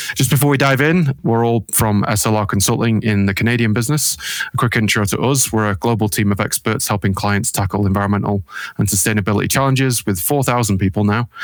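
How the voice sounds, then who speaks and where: Speaking very fast, a man with a British accent has a fairly low pitch and ordinary pitch variation. His loudness stays very even. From UK. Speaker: acoustics consultant hosting a panel discussion. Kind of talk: video panel introduction. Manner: casual with frequent fillers.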